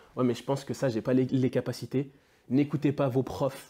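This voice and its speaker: The tone is dark and mellow, and the recording is very clean against a silent background. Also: man. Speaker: former student speaking to pupils. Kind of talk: motivational talk to students. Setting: classroom with students. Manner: animated, exhortative.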